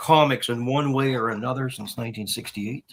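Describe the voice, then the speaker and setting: It is a plain, everyday voice with a Canadian accent. The pitch varies in an ordinary way. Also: man. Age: 60s. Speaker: comic book collector. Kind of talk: casual chat.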